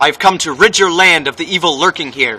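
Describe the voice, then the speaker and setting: Putting on a character voice, a man speaks at a fairly quick pace with a high pitch and ordinary pitch variation. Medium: stage play.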